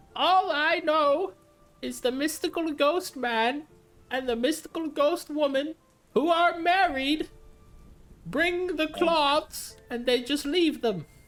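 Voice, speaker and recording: A man puts on a character voice at a fairly slow pace, with faint music in the background. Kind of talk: old sailor dialect. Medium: actual play. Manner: rambling, gruff.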